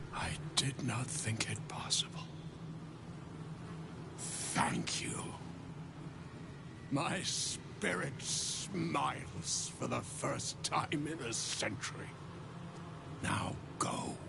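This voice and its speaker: A man's put-on character voice at medium pitch, very slow in pace, over loud background noise. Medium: machinima. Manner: formal, archaic.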